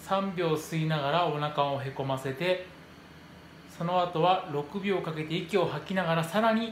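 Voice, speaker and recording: With audible room echo and light background noise, a man speaks at a moderate pace in a high pitch with ordinary pitch variation. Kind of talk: tutorial. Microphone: phone near.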